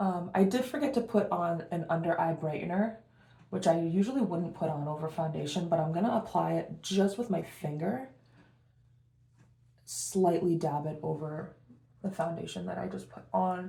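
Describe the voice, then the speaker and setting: A woman's voice has a fairly low pitch, a dark, mellow tone, and vocal fry. Her pitch variation is ordinary, and there is audible room echo. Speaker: beauty vlogger. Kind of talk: casual get-ready-with-me vlog. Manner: fast.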